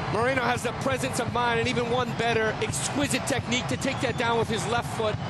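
Noticeable background noise sits behind a man talking at a very fast pace and high pitch. His tone is enthusiastic, his intonation lively. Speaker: color analyst commentator. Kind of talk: live sports commentary, analytical. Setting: TV broadcast. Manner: measured, enthusiastic analysis with praise.

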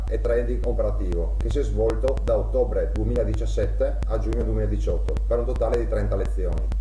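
A man talks at a moderate pace while music plays in the background. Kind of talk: testimonial statement. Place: home room. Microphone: webcam.

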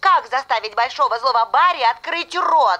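A cartoonish character voice with lively intonation and a bright, sharp tone, at a moderate pace. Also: woman, high pitch for a woman.

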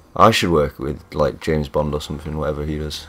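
Speaking at a fairly quick pace, a man has a very deep, low pitch. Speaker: gaming YouTuber. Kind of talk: casual gameplay commentary. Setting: builders audible in background. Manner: casual, chatty.

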